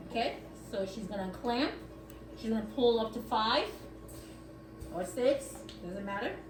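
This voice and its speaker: With music in the background and audible room echo, a woman with a fairly high pitch speaks at a moderate pace with ordinary pitch variation and long, frequent pauses. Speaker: dialysis nurse. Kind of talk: hands-on training demonstration. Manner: loud.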